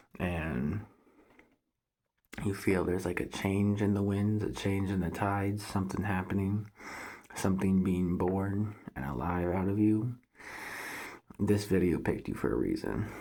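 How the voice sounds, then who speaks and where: At a fairly low pitch and fairly slow pace, a man with a dark, mellow tone speaks with ordinary pitch variation and long, frequent pauses. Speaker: spiritual vlogger. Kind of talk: casual monologue to camera. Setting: at home, thin walls. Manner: keeping voice down.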